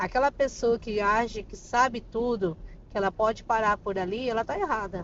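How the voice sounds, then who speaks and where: Moderate pace and ordinary pitch variation from a woman with a plain, everyday voice, pitched fairly high. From Brazil, Campo Grande, Mato Grosso do Sul. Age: 40s. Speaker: psychoanalyst and therapist. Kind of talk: casual interview.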